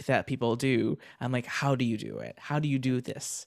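An ordinary speaking voice comes from a man with an American accent. He speaks at a medium pitch and a moderate pace, with fairly even intonation. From Florida. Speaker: software developer and streamer. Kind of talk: casual interview.

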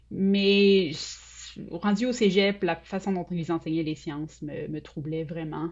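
Here a woman speaks at a very slow pace. Her fairly low voice has ordinary pitch variation. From Quebec City, Sainte-Foy. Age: 40s. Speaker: UX researcher. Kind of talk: interview.

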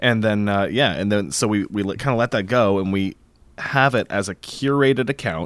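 This man has a fairly low pitch and a plain, everyday voice, talking at a moderate pace with ordinary pitch variation on a very clean recording with a silent background. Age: 30s. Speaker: VR podcast host. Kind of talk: casual chat.

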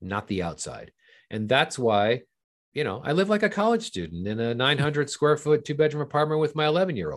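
Over a quiet background, a man with an American accent speaks at a fairly high pitch, his voice making very wide pitch swings. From Southern California. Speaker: film and TV finance executive. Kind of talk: interview.

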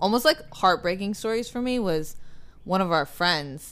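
A woman with an ordinary speaking voice, at a moderate pace and with ordinary pitch variation. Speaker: podcast co-host. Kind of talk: casual podcast chat about a movie.

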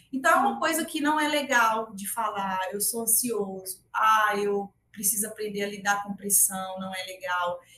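The voice has a bright, sharp tone and ordinary pitch variation, moving at a fairly slow pace with hardly any pauses. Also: woman, medium pitch for a woman. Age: 30s. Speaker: tech recruiter and career consultant. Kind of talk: interview conversation.

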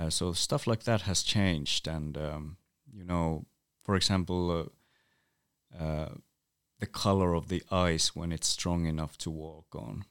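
In a very clean recording with a silent background, a man with a Northern Scandinavian accent and a very deep, low pitch speaks at a fairly slow pace with ordinary pitch variation and long, frequent pauses. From Sami village in northern Finland. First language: North Sami. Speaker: Sami writer, musician and activist. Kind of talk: interview conversation. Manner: hesitant, many fillers.

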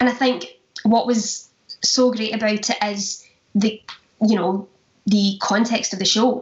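A woman with a Glaswegian accent speaks at a very slow pace and a fairly high pitch, with ordinary pitch variation. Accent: Glaswegian Scottish. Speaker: stage actress, musical theatre performer. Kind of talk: casual interview chat.

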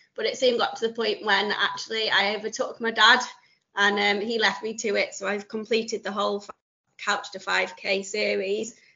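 At a moderate pace, a woman with a fairly high pitch speaks in a monotone, flat intonation. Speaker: guest runner. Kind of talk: casual interview chat.

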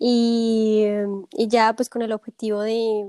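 Dry and close with no echo, the voice carries a dark, mellow tone. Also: woman. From Colombia, Bogotá. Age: 20s. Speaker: podcast guest. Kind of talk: casual interview.

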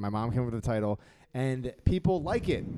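A man with an American accent and a dark, mellow tone, at a fairly quick pace with lively intonation. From Philadelphia. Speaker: comedian. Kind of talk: casual chat. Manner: sarcastic, joking.

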